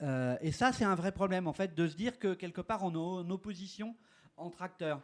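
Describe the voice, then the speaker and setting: The speaker is a man whose voice is high-pitched. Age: 60s. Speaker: urban age-friendly policy expert. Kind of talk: conference panel talk. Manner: hesitant, many fillers.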